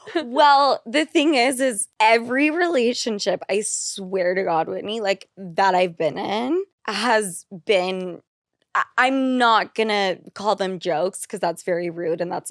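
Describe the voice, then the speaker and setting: A woman with an ordinary speaking voice and an American accent speaks at a fairly slow pace and medium pitch, with lively intonation. The sound is dry and close with no echo, on a very clean recording with a silent background. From Utah. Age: 30s. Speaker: podcaster. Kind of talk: casual chat.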